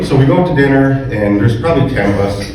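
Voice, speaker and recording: Speaking with an Upper Peninsula Michigan accent, a man at medium pitch talks at a moderate pace with lively intonation, with audible room echo and noticeable background noise. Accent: Upper Midwest (Yooper). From Michigan Upper Peninsula. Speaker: podiatrist. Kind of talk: memorial tribute speech.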